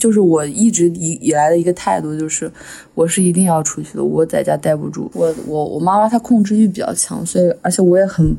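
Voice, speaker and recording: A woman talks at a fairly quick pace in a fairly low pitch with ordinary pitch variation. It is a normal speaking voice. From Henan, small county near Shanxi/Shaanxi border. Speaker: podcast host. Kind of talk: casual chat.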